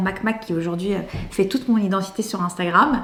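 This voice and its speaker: Against noticeable background noise, a woman talks at a fairly quick pace and a medium pitch. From France, Lebanese family. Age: 30s. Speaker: comedian. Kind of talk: interview. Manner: hesitant, many 'euh'.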